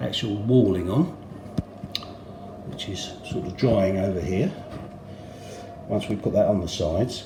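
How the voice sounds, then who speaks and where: A man with an English accent, fairly low pitch and fairly slow pace, with long, frequent pauses, audible room echo and noticeable background noise. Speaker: model railway hobbyist. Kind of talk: tutorial. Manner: casual, hesitant with fillers.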